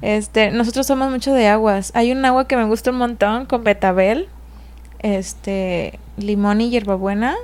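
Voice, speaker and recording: In an ordinary speaking voice, a woman talks at a fairly slow pace with fairly even intonation and very even loudness. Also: fairly high pitch for a woman. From Mexico, Puerto Vallarta (Jalisco coast). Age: young. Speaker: restaurant owner. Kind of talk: casual interview chat.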